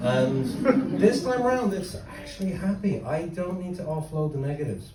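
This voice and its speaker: Someone speaks at a moderate pace in an Irish accent, with audible room echo. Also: man. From Ireland. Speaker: stand-up comedian. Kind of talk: stand-up. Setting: stage with audience.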